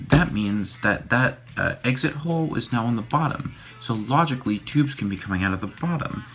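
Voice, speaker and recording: A man's quiet, medium-pitched voice at a fairly quick pace, lively intonation, music in the background. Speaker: YouTuber making a costume mask. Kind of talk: casual tutorial vlog. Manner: quiet, hushed; hesitant, many fillers.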